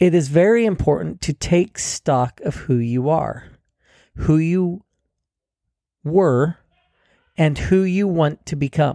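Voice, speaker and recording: A man with a fairly high pitch and a dark, mellow tone speaks very slowly, with long, frequent pauses and ordinary pitch variation. The recording is very clean, with a silent background and a dry, close sound with no echo. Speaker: self-help podcast host. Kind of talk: solo monologue podcast. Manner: halting, stops and starts.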